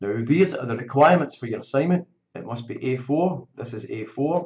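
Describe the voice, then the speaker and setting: A man with a Scottish accent speaks somewhat breathily, his pitch varying an ordinary amount. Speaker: teacher. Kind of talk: tutorial. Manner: informal.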